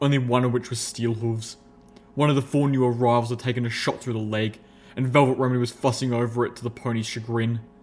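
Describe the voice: Fairly even intonation in plain reading aloud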